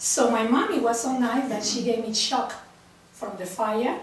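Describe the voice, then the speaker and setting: A woman with a Mexican accent speaks at a moderate pace in a fairly high pitch with fairly even intonation, amid noticeable background noise and audible room echo. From Mexico. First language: Spanish. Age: 60s. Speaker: printmaking artist. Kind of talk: personal talk to a group.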